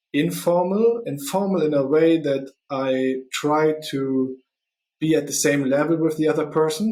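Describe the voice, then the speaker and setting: Fairly high for a man, his pitch stays fairly even in intonation, delivered with a non-native accent. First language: not English. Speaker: podcast host and recruiter. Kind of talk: solo podcast monologue. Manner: halting, many fillers.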